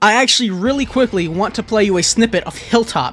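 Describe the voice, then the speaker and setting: A man's extremely high, animated voice at a fairly quick pace with ordinary pitch variation, music in the background. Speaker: video game youtuber. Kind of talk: scripted video essay. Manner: stammering when unscripted.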